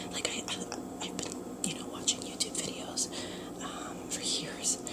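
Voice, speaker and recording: The voice is whispering. Noticeable background noise can be heard. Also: woman. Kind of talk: casual talk to camera. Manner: whispered.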